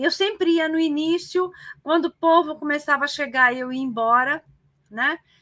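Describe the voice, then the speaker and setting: A woman's raised, projected voice sits high in pitch, bright and sharp in tone, with ordinary pitch variation. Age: 60s. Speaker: retired teacher and political activist. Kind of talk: casual interview on live stream. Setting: live online broadcast. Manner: hesitant, many fillers.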